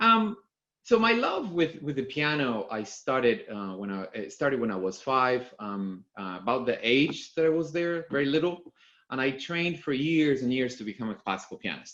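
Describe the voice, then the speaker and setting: In a Spanish accent, a man speaks at a moderate pace in a fairly high pitch, his pitch swinging very widely. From Argentina. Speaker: company executive. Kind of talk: conference talk. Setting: video call. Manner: halting, many fillers.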